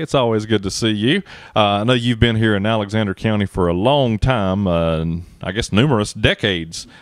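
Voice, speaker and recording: A man speaks fairly quickly in an ordinary speaking voice. His pitch is fairly low with ordinary variation. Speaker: economic development coordinator, interviewer. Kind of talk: interview host questions.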